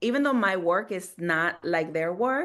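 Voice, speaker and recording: In a Latin American accent, a woman of medium pitch speaks with lively intonation over a quiet background. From Guatemala, Montreal and Los Angeles. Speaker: theater maker. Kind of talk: panel discussion. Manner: halting.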